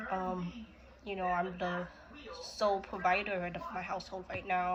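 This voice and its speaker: Flat, monotone speech moves at a moderate pace over noticeable background noise. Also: woman. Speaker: vlogger sharing personal story. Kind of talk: personal testimony. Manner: hesitant, many fillers.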